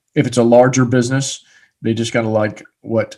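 The background is quiet as a man talks in a normal speaking voice. His pitch is medium and his pace fairly quick. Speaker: podcast host. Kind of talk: interview.

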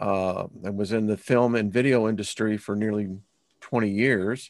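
Very slow speech with fairly even intonation, over a quiet background. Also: man. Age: 60s. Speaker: spiritual teacher and esoteric researcher. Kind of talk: interview.

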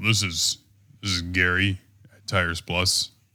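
A man's put-on character voice, very deep, low and raspy, at a very slow pace, in a very clean recording with a silent background. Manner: put-on phone-answering voice.

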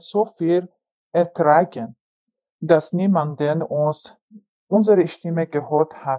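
Here a woman talks at a very slow pace, her intonation fairly even. Her tone is dark and mellow. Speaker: refugee interviewee, mother. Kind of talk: testimony.

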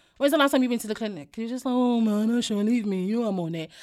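A woman speaks very fast in an African accent, her pitch high and her tone animated. Her intonation is lively, and the recording is very clean with a silent background. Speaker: podcaster. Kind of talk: casual chat.

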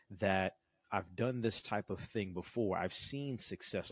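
In a normal speaking voice, a man talks at a fairly slow pace with ordinary pitch variation, the sound dry and close with no echo on a very clean recording with a silent background. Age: 40s. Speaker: business startup coach, podcast host. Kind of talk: casual chat.

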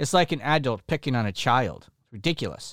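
This man speaks at a medium pitch and a fairly quick pace with lively intonation, his voice dry and close with no echo on a very clean recording against a silent background. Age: 40s. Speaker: podcast host, Bible teacher. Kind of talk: solo podcast teaching monologue. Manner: emphatic.

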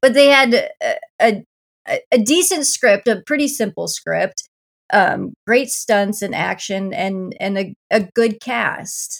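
Speaking with a Midwestern American accent, a woman uses a fairly high pitch with vocal fry. Her intonation is lively and her pace very slow. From rural Iowa. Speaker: podcast co-host. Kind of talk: casual chat.

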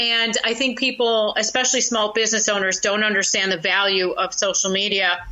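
Noticeable background noise accompanies a woman of medium pitch who speaks at a moderate pace with fairly even intonation. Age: 40s. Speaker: social media consultant and comedian. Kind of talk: interview.

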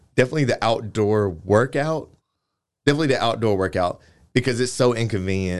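A man talks at a very fast pace with ordinary pitch variation against a quiet background. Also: medium pitch for a man. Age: 20s. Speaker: fashion week organizer and clothing designer. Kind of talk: casual interview.

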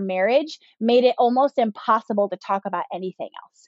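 A woman with an American accent and a normal speaking voice, fairly high in pitch, at a moderate pace. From Southern California. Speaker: business owner and mentor. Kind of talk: interview.

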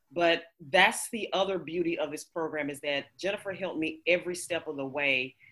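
At a moderate pace, a woman with a plain, everyday voice speaks at a fairly low pitch and with fairly even intonation. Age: 40s. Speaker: coaching client. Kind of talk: interview.

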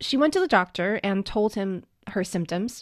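Against a quiet background, a woman speaks at a moderate pace with a medium pitch. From China, then US from middle school. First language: Mandarin Chinese. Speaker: podcast guest co-host, parent. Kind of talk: casual chat.

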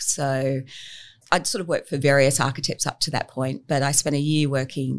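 This woman has an Australian accent and a very deep, low pitch. Her pace is moderate. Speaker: architect. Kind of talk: interview.

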